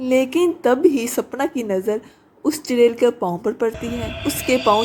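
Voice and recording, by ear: A woman talks at a moderate pace in a fairly high pitch. Her tone is slightly mellow, with a slightly husky edge.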